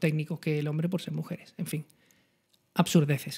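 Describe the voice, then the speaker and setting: A man with an Andalusian accent against a quiet background. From Andalusia, Spain. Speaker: photography channel host. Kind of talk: live-streamed talk. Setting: live stream. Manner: fast. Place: home room. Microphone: studio mic.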